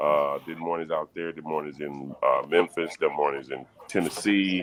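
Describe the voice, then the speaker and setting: A man with an American accent and a very deep, low pitch talks at a moderate pace with fairly even intonation, over noticeable background noise. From US South, Alabama (Prichard, Mobile). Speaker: radio DJ and business owner. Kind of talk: casual chat.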